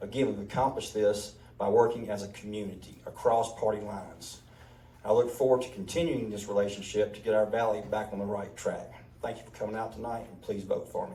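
A man with a Mississippi accent talks at a fairly quick pace in a fairly low voice. His intonation stays fairly even, his loudness swings widely, and audible room echo surrounds him. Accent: Mississippi Southern. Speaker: county commissioner candidate, restaurant owner. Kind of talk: candidate forum speech.

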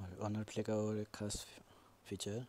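The voice belongs to a man. His tone is dark and mellow at a fairly low pitch. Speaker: tech YouTuber. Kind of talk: casual phone feature walkthrough. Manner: low volume.

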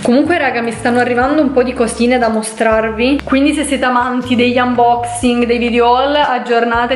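Talking at a fairly quick pace, a woman keeps a monotone, flat intonation. Light background noise and audible room echo fill the recording. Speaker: vlogger. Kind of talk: casual vlog chat. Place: home room. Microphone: phone near.

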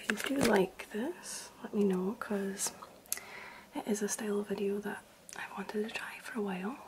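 A soft-spoken woman whispers at a moderate pace. Noticeable background noise can be heard. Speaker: vlogger. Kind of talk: casual vlog chat. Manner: soft ASMR whisper to camera. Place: home room. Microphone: phone near.

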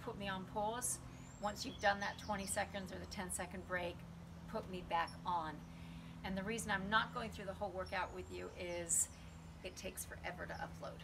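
Background noise stays noticeable throughout. The talking goes at a moderate speed. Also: woman. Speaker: fitness instructor. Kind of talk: tutorial. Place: garden. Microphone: camera far.

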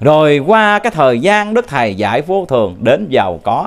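A man's fairly high-pitched voice with very wide pitch swings. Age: 40s. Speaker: religious teacher. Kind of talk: dharma talk. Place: studio. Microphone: handheld.

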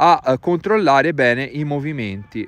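The recording is dry with no echo. A man speaks at a moderate pace with lively intonation. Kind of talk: tutorial. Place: open country.

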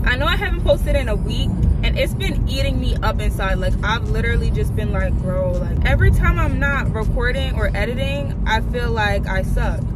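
Over loud background noise, a woman talks at a fairly quick pace with hardly any pauses, and the sound is dry with no echo. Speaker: vlogger. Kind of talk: casual vlog chat. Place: car. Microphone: phone near.

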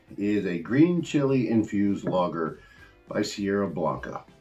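A man speaks at a fairly slow pace with a fairly low pitch. Faint music plays in the background. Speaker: beer reviewer. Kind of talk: casual review vlog. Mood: enthusiastic, upbeat. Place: home room.

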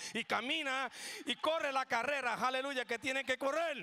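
A man speaks in a raised, projected voice with an animated, bright, sharp tone. His pace is fairly quick, and the sound is dry and close with no echo. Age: 60s. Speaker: pastor. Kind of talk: sermon. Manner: animated, call-and-response.

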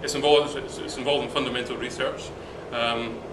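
Loud background noise fills the recording. The speaker talks at a fairly quick pace. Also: man. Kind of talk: interview answer. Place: hall. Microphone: camera far.

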